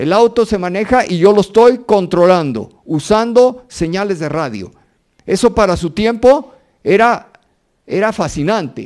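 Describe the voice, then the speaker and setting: Against a quiet background, a man with a high-pitched voice talks at a fairly slow pace with lively intonation. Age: 60s. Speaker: robotics researcher; lecturer. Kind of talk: lecture. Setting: university auditorium with audience. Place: hall. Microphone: handheld.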